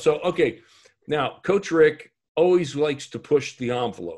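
Against a quiet background, a man with a fairly high pitch speaks with ordinary pitch variation. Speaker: leadership podcast host and business coach; leadership podcast host, business coach. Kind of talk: interview podcast. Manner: energetic, informal. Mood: friendly, upbeat. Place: office. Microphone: video call.

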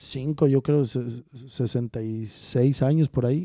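Over a quiet background, a man's dark, mellow tone comes through in a dry sound with no echo. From central Mexico, Texcoco; central Mexico. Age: 40s. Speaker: charro rider; podcast guest. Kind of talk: casual chat. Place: studio. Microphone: studio mic.

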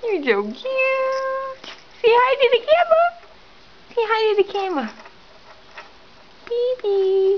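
A woman talks at a fairly slow pace with long, frequent pauses. Loud background noise fills the recording. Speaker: cat owner. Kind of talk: casual talk to pet. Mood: affectionate, cooing. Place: home room. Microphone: phone near.

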